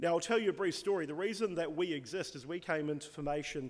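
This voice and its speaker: A man with a New Zealand accent, fairly quick delivery, ordinary pitch variation, and a very clean recording over a silent background. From New Zealand (Māori). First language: Māori. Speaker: business leader and UN representative. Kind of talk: conference speech. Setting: conference audience. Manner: frequent fillers (um, uh).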